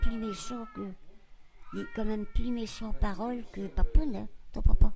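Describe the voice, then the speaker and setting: Over music in the background, a woman with a fairly high pitch talks at a moderate pace, her intonation fairly even and her loudness swinging widely. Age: 80s+. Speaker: grandmother interviewed in family documentary. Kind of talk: intimate family conversation.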